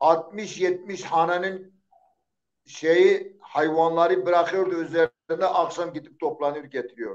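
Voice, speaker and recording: A man speaks with an Eastern Anatolian accent at a high pitch. His intonation stays fairly even. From Eastern Turkey, Zaza village near Diyarbakır. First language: Zazaki (speaking Turkish). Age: 60s. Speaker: poet. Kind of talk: interview. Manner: halting.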